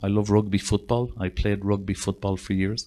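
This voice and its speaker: On a very clean recording with a silent background, a man speaks at a fairly low pitch with a Northern Irish accent. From Northern Ireland. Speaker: psychotherapist. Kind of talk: interview.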